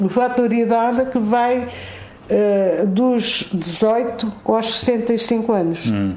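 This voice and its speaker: A woman's fairly high voice at a very slow pace with fairly even intonation, audible room echo and noticeable background noise. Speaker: president of an arts and crafts association, retired office worker. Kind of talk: radio interview. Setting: on location at the association.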